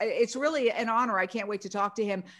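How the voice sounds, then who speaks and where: An ordinary speaking voice from a woman with an American accent, fairly high in pitch with ordinary pitch variation. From New York City. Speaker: news host. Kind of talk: live stream promo. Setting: live video.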